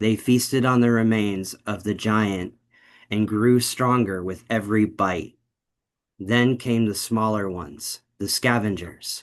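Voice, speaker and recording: Against a quiet background, a man with an ordinary speaking voice talks at a fairly slow pace. His pitch is fairly low and his intonation fairly even. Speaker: narrator reading a story aloud. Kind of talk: cold read of a first-person dark fantasy story.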